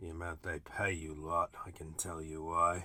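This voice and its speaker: A man puts on a character voice that is raspy and very deep in pitch. His intonation stays monotone and flat. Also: big swings in loudness. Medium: read story.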